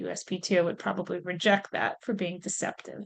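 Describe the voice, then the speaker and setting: The speaker talks at a fairly quick pace in a normal speaking voice. The background is quiet. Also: woman. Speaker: legal expert on trademarks. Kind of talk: webinar presentation.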